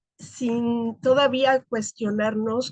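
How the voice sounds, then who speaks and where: The somewhat breathy voice has a dry, close sound with no echo. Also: woman. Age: 60s. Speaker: academic. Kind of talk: seminar discussion.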